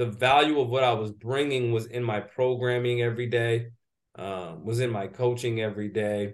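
The speaker has an unremarkable speaking voice and talks at a moderate pace. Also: man. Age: 30s. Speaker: strength and conditioning coach. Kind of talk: interview.

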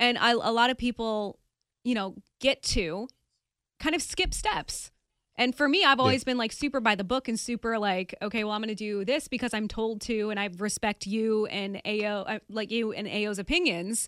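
A woman with a normal speaking voice talks at a moderate pace, fairly high in pitch, with ordinary pitch variation. The sound is dry and close, with no echo. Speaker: podcast host. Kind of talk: casual interview.

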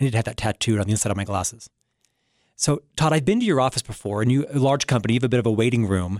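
A very fast pace with an American accent, in a very clean recording with a silent background. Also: man, medium pitch for a man, ordinary pitch variation. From Florida, US. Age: 50s. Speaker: radio show host. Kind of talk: interview and monologue on leadership.

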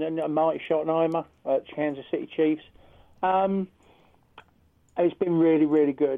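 With a British accent, a man speaks at a fairly slow pace. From United Kingdom. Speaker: American football coach. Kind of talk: casual chat. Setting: phone call.

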